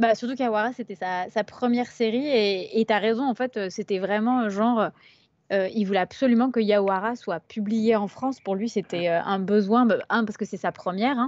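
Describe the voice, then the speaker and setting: A woman speaks at a fairly high pitch and a moderate pace, with fairly even intonation. She has a normal speaking voice. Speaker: publisher's press officer hosting a live stream. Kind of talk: casual live stream chat. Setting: live stream with chat.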